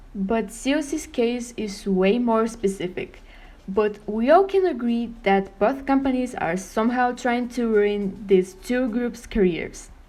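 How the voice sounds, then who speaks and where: A woman with a non-native accent talks at a fairly slow pace, her pitch fairly high. Her tone is dark and mellow, and her intonation is lively. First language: not English. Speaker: k-pop youtuber. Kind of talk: scripted opinion monologue.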